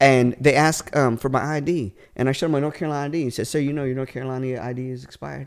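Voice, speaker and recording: With an American accent, a man of medium pitch speaks very fast with hardly any pauses and fairly even intonation. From California. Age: 40s. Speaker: comedian. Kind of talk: storytelling in casual podcast chat. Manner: halting with many fillers.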